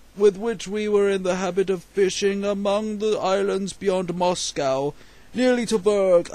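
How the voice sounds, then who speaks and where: A man in a put-on character voice, high-pitched, at a moderate pace. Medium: read story.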